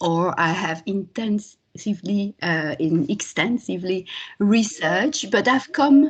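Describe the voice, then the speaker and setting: Speaking in a French accent, a woman uses a medium pitch and a fairly slow pace, her lively intonation somewhat breathy. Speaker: linguistics lecturer. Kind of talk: academic talk.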